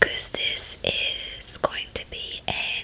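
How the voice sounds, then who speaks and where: Whispering from a woman amid noticeable background noise. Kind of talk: ASMR makeup tutorial chit chat. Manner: whispered, soft-spoken.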